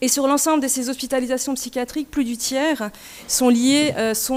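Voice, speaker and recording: A woman's high-pitched voice at a fairly quick pace, with fairly even intonation and noticeable background noise. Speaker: nurse researcher. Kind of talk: conference presentation.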